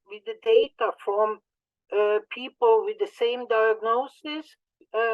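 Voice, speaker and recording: A woman with a non-native accent, fairly high pitch and ordinary pitch variation. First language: not English. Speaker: conference speaker in audiology. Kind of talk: conference presentation. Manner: halting, many fillers and repetitions.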